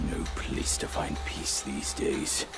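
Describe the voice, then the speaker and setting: A man's cartoonish character voice over loud background noise. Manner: laughing, mocking.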